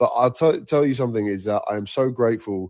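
A man with a British accent speaks at a moderate pace with fairly even intonation against a quiet background. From Egypt and Nigeria. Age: 40s. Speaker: singer. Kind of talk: casual chat.

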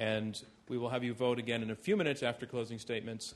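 Here a man speaks at a very fast pace with medium pitch. His intonation is monotone and flat. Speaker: debate moderator. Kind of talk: moderated public debate. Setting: stage with audience. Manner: formal.

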